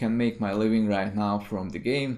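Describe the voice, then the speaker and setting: A man is speaking. He has a Hungarian accent. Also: very clean recording, silent background. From Hungary. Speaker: indie game developer. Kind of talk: video commentary monologue. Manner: hesitant, many fillers.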